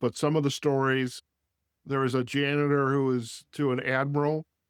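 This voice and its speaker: This is a man with an ordinary speaking voice at medium pitch. He talks at a fairly slow pace, and the sound is dry and close with no echo. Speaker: podcast host. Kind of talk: interview question.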